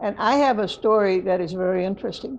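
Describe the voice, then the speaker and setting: A woman's medium-pitched voice moves at a moderate pace, its pitch shifting in an ordinary way. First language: Spanish. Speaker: lay preacher. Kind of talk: interview reflection. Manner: halting, with false starts.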